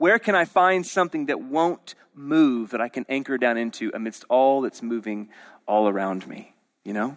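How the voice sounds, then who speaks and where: A man's ordinary speaking voice at medium pitch with an American accent, lively intonation and a moderate pace, in a dry, close sound with no echo on a very clean recording with a silent background. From Oklahoma City, US. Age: 30s. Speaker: pastor. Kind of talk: sermon.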